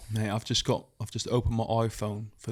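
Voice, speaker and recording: A man speaks with a British accent. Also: very clean recording, silent background. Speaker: podcast co-host. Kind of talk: casual chat. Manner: slight slur on S sounds.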